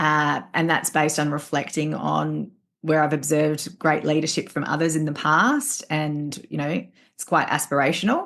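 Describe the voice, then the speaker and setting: A woman's very deep, low voice with vocal fry and fairly even intonation, over a quiet background. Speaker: leadership trainer and coach. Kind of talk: interview. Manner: fast.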